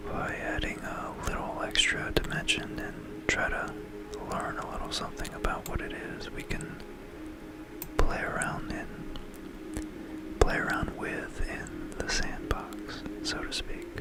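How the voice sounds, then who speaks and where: Someone whispers at a very slow pace. Noticeable background noise can be heard. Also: man. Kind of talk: educational ASMR narration. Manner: whispered.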